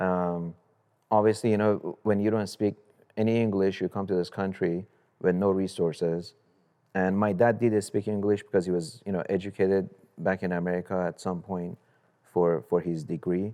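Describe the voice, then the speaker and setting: A man with a Persian accent, very deep, low pitch and a dark, mellow tone, at a moderate pace with fairly even intonation, against a quiet background. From Iran, moved to US at 14. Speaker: real estate investor. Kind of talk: interview.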